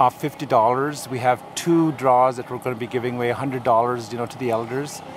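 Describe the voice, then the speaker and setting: Noticeable noise in the background accompanies speech that stays monotone and flat. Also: man. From Peguis First Nation, Manitoba, Canada. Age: 60s. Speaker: community elder and event host. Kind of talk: casual interview. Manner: hesitant, many fillers and repeats.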